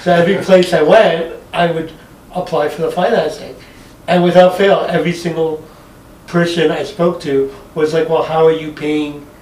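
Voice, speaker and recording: High-pitched male speech at a moderate pace, monotone and flat, with noticeable background noise and audible room echo. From Montreal, Quebec. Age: 40s. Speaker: stand-up comedian. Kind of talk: casual chat.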